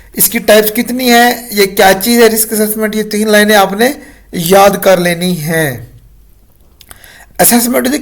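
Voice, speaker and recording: This man's voice sits high, and its pitch varies by an ordinary amount. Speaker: online tutor. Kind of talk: tutorial. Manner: casual, with many fillers.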